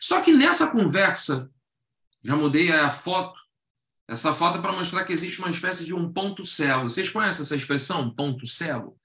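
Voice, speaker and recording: A man's raised, projected voice carries a bright, sharp tone. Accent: Carioca. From Rio de Janeiro, Brazil. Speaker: educator and workshop facilitator. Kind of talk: online workshop talk. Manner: conversational, engaging audience with questions.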